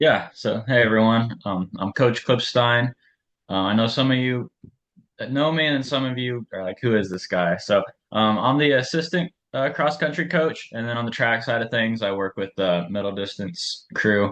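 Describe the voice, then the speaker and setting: A man's voice at medium pitch, with ordinary pitch variation and a moderate pace, against a quiet background. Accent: Midwestern American. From western Ohio. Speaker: assistant running coach. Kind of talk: team meeting.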